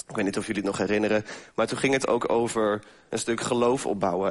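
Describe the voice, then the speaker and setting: An ordinary speaking voice moves at a fairly quick pace with fairly even intonation. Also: man. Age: 20s. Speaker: lay preacher. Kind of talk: sermon.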